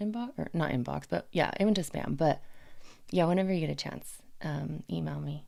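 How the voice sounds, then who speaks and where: This woman's voice has a very deep, low pitch. Its tone is dark and mellow. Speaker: livestreamer. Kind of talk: casual chat. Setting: livestream.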